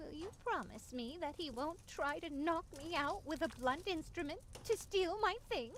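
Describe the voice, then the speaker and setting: A put-on character voice speaks at an extremely high pitch and a moderate pace. Background noise is clearly audible. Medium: video game. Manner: fretful, worrying.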